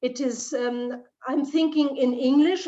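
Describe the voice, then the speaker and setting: In a German accent, a woman with a high pitch speaks very slowly, her intonation fairly even. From Germany. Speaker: leadership trainer. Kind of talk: Q&A answer. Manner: halting, searching for words.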